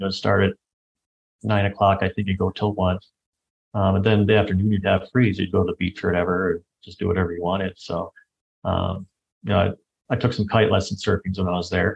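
A man with a fairly low pitch and a somewhat breathy voice speaks very fast in a monotone, flat intonation, with long, frequent pauses. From Michigan, US Midwest. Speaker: traveler sharing experiences. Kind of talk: casual interview chat.

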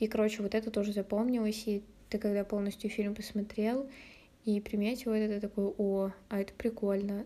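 The woman's fairly high voice stays monotone and flat as she talks at a moderate speed. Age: 20s. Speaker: podcaster. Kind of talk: casual solo chat. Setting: at home. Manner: hesitant, with many fillers.

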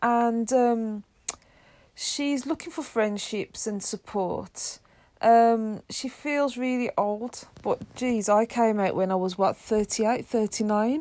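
With an English accent, this voice has a dark, mellow tone, ordinary pitch variation and a very slow pace. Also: woman, fairly high pitch for a woman. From England. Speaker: podcast co-host. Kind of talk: casual chat.

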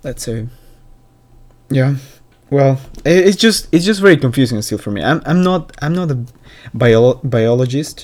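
A man with a non-native accent speaks in a fairly high voice with lively intonation. His pace is fairly slow, with long, frequent pauses. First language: not English. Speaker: solo podcaster. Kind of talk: casual monologue. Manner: halting, many repetitions.

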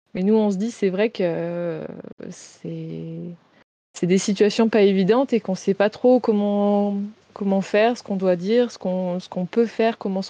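At a fairly slow pace, a dark, mellow voice speaks with fairly even intonation, the sound dry and close with no echo against a quiet background. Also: woman. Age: 20s. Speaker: naturopath and reflexologist. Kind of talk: interview about grief and wellness.

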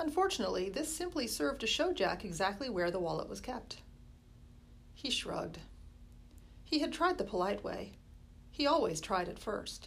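Her fairly high voice shows vocal fry and very wide pitch swings. The woman keeps a moderate pace but leaves long, frequent pauses. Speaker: school librarian reading aloud. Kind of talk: horror audiobook reading, spooky first-chapter narration.

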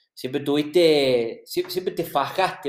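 A man with a plain, everyday voice. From Argentina. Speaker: podcast host. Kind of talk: interview.

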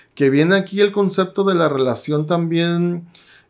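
In a plain, everyday voice, a man talks at a fairly slow pace with fairly high pitch, on a very clean recording with a silent background. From Sonora, Mexico (Guaymas). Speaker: action figure collector and teacher. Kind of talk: casual chat.

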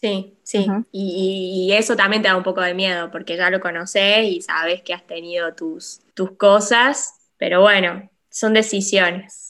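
A woman speaks with a bright, sharp tone at a fairly slow pace, her pitch medium. Her intonation stays fairly even, with hardly any pauses. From Argentina, La Rioja. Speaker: doctor (urologist). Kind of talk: casual interview chat.

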